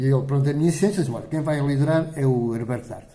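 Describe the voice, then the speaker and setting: A somewhat breathy voice with a dark, mellow tone moves at a very fast pace with ordinary pitch variation, and audible room echo surrounds it. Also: man. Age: 70s. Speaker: parish council president. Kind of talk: interview.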